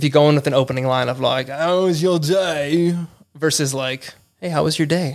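With an American accent, a plain, everyday voice moves at a moderate pace with fairly even intonation. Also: man, fairly high pitch for a man. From Los Angeles. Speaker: improv student, podcast guest. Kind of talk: casual interview chat.

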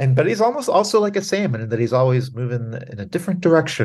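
The clip is plain reading aloud. Each line is read out as written.

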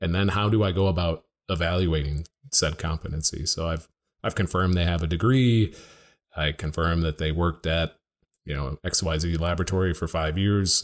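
A man with a very deep, low pitch talks fairly quickly on a very clean recording with a silent background. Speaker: accreditation expert. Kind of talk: casual interview chat. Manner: joking, light-hearted.

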